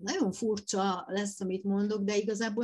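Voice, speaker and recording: Her pitch sits at a medium level. The woman's voice has a somewhat breathy quality. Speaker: florist, gardener and food blogger. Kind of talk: interview. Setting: virtual studio. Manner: halting, many fillers and repetitions.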